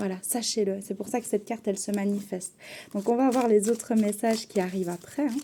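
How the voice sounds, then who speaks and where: A woman talks at a moderate pace with a medium pitch and ordinary pitch variation, and there is noticeable background noise. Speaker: tarot card reader. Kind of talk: tarot reading.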